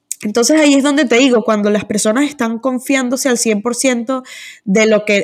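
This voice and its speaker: A woman talks at a moderate pace with fairly even intonation in a normal speaking voice. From Venezuela. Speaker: e-commerce agency founder. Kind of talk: interview.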